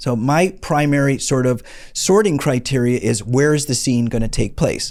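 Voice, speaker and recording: Ordinary pitch variation on a very clean recording with a silent background. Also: man, medium pitch for a man, very even loudness. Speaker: indie film producer and educator. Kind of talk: tutorial. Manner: fast.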